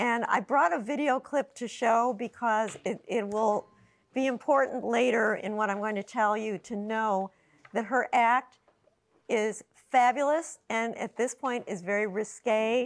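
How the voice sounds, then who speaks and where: A woman with an American accent and a fairly high pitch speaks in a normal speaking voice at a fairly slow pace with ordinary pitch variation, on a very clean recording over a silent background. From Chicago, US Midwest. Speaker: blues pianist and show producer. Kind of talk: courtroom testimony.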